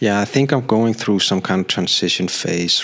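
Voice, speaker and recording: A man speaks over noticeable background noise. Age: 40s. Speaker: graphic designer and vlogger. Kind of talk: personal vlog monologue. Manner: hesitant, many fillers.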